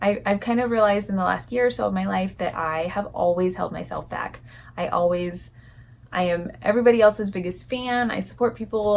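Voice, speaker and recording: A soft-spoken woman at a fairly quick pace, her pitch medium. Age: 30s. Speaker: lifestyle vlogger. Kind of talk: casual vlog talk to camera.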